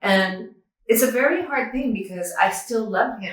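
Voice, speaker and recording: A woman uses an ordinary speaking voice at a moderate pace, her pitch varying in an ordinary way. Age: 60s. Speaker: near-death experiencer, yoga teacher and author. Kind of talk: interview testimony.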